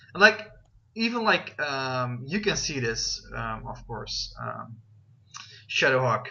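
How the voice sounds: A man speaks at a medium pitch in a bright, sharp tone, with audible echo in the room.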